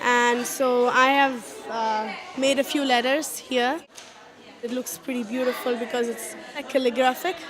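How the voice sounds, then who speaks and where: A woman with a Keralan accent speaks at a high pitch, fairly slowly and with fairly even intonation, pausing long and often, with audible room echo and crowd noise in the background. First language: Malayalam. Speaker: parent at a workshop. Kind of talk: interview.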